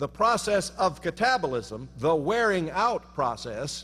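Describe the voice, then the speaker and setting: This man's voice swings very widely in pitch and shows vocal fry. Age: 60s. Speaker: professor. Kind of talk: humorous speech.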